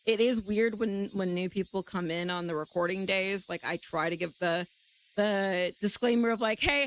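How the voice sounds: At a moderate pace, a woman talks at a medium pitch with ordinary pitch variation.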